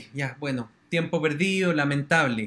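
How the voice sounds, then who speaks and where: Here a man is speaking. His pace is moderate. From Chile. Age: 30s. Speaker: journalist. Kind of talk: interview.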